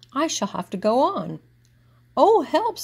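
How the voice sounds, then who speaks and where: A woman puts on a character voice, high in pitch with very wide pitch swings. She goes at a fairly slow pace. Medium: read story.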